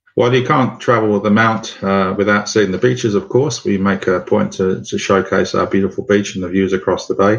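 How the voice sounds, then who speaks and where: In a London accent, a man with a fairly low pitch talks at a fairly quick pace with ordinary pitch variation and hardly any pauses. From London, England. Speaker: tour operator and guide. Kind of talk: interview answers.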